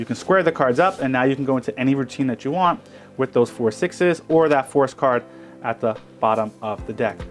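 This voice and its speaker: Noticeable background noise sits behind this recording. A man speaks at medium pitch with ordinary pitch variation. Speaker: magician. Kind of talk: tutorial. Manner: fast; casual.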